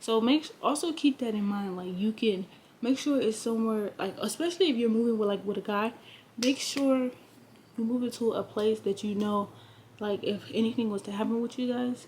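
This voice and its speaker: A woman with a fairly high, somewhat breathy voice talks at a fairly quick pace with ordinary pitch variation. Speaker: lifestyle vlogger. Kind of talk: casual vlog talk to camera. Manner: hesitant with many fillers.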